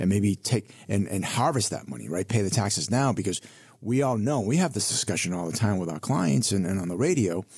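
Lively intonation carries speech delivered at a fairly quick pace. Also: man, fairly low pitch for a man. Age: 50s. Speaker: financial advisor. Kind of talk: casual chat. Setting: studio.

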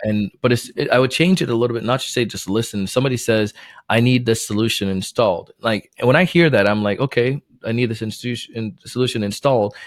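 In a very clean recording with a silent background, a man speaks very fast at a medium pitch with ordinary pitch variation. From Jamaica, moved to Florida at nine. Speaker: sales trainer and podcast host. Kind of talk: casual interview.

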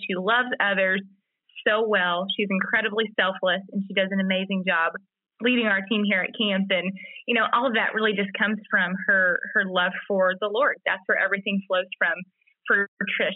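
In a Mississippi accent, a woman of medium pitch speaks at a moderate pace with monotone, flat intonation. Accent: Southern American (Mississippi). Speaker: podcast co-host. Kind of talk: casual chat. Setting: remote call.

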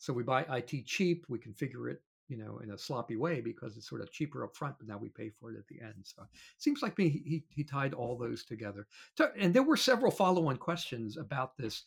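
Speaking at a fairly quick pace, a man with medium pitch and vocal fry uses lively intonation, and his loudness swings widely. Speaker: podcast co-host and panel moderator. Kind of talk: interview and panel recap.

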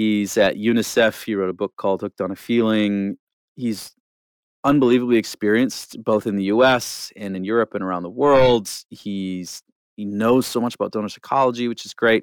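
An ordinary speaking voice with a Canadian accent, moving at a moderate pace with fairly even intonation. The sound is dry and close with no echo, in a very clean recording over a silent background. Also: man, fairly low pitch for a man. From rural Alberta, Canada. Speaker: nonprofit marketing lead. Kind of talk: interview. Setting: studio.

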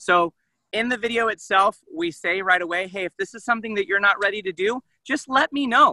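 Raised and projected, a man's high, bright, sharp voice moves at a fairly quick pace with ordinary pitch variation. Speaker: university gift officer. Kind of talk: casual chat.

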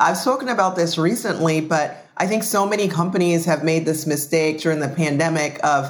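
A woman with a very deep, low voice speaks at a moderate pace over noticeable background noise. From Jamaica. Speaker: podcast host. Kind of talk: podcast interview.

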